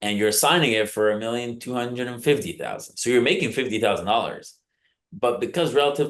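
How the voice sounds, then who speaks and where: The setting is quiet. A man speaks very fast. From Uruguay. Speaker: land investor. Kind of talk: podcast interview answer.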